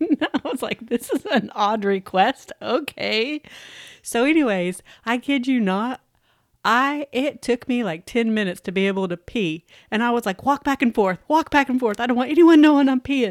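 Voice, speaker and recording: The voice is loud, with lively intonation. The recording is very clean with a silent background and a dry, close sound with no echo. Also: woman, high pitch for a woman, moderate pace. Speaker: podcast co-host. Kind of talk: casual chat. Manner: loud and goofy.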